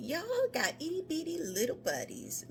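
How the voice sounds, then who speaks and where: Delivered at a moderate pace, a put-on character voice comes through over clear background noise. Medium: read story. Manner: warm, easygoing.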